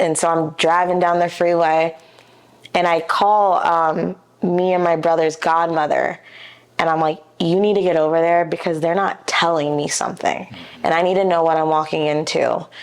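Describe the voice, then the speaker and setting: A woman talks with a Midwestern American accent and a fairly low pitch. Her loudness is very even and her intonation monotone and flat. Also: moderate pace. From Ohio, US (Dayton area, Beavercreek). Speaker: commercial real estate agent. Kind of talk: podcast interview, personal storytelling.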